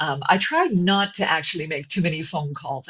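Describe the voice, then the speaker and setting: A woman speaks at a moderate pace with a somewhat breathy voice. Her pitch sits fairly low, and her intonation stays fairly even. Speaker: voice actor. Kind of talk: webinar interview answer.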